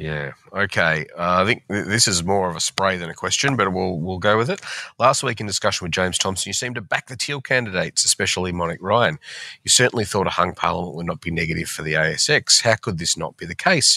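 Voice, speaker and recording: A man with a very deep, low pitch and a bright, sharp tone talks at a very fast pace with ordinary pitch variation, in a dry, close sound with no echo. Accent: Australian. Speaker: financial newspaper columnist. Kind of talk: casual chat. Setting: remote recording.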